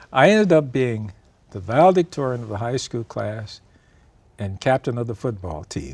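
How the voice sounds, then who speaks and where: This man speaks at a moderate pace. His pitch swings very widely. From Michigan and Tennessee. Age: 80s+. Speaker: retired professor. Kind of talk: interview.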